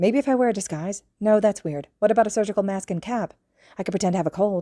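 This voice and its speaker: In a put-on character voice, a woman mumbles at a very fast pace and medium pitch, on a very clean recording with a silent background. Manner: mumbling, muttering to self.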